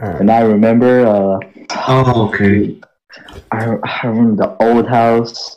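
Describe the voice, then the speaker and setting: In a flat, monotone intonation, a man speaks at a medium pitch. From Philippines. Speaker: podcast co-host. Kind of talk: casual chat.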